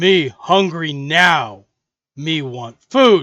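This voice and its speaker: A man performs a put-on character voice. It sits fairly high. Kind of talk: broken simple speech.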